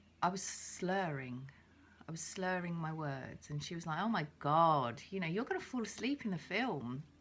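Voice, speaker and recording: Here a woman talks with an English accent at a fairly low pitch. Her pace is moderate. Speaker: vlogger with agoraphobia. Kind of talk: video diary. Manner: casual, halting.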